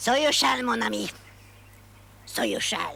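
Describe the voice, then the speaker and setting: A woman performs a put-on character voice at a moderate pace. Background noise is clearly audible. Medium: short film. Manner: taunting, theatrical.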